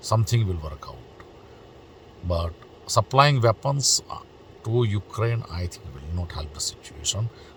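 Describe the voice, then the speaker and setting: Over noticeable background noise, a man with a non-native accent and a fairly low voice speaks at a fairly slow pace, with long, frequent pauses, lively intonation and big swings in loudness. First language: not English. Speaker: political commentary vlogger. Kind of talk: opinion monologue. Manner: hesitant, many fillers.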